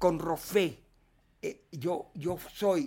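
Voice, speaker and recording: The recording is very clean and the background silent, with an animated tone to the voice. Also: man. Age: 70s. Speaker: filmmaker. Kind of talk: interview.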